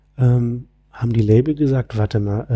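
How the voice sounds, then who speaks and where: A man's dark, mellow, somewhat breathy voice at a moderate pace, fairly even in intonation, on a very clean recording with a silent background. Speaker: music industry and sustainability entrepreneur. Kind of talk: casual interview conversation. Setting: conference room, in person.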